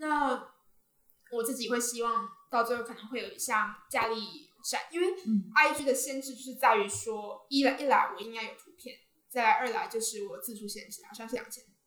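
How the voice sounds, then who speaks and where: A woman speaks at a moderate pace in a high, bright, sharp tone with ordinary pitch variation. Her loudness swings widely, and the room echo is audible. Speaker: university student and social media creator. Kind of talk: casual interview.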